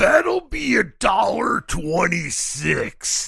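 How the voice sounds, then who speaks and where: A man uses a put-on character voice that is raspy and high-pitched. He speaks at a very slow pace. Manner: exaggerated, over-the-top.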